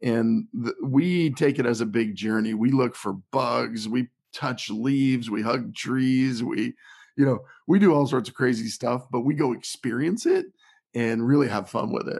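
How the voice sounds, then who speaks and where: A man's unremarkable speaking voice at medium pitch, fairly slow, with ordinary pitch variation and a quiet background. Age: 50s. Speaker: health and lifestyle author. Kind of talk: casual interview.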